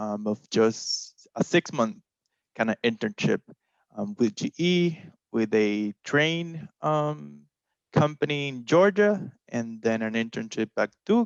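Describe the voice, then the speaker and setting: A man's medium-pitched voice with a Puerto Rican accent, very wide pitch swings and a very slow pace, in a dry, close sound with no echo. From Puerto Rico. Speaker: technical marketing engineer. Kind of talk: panel self-introduction. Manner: many filler ums.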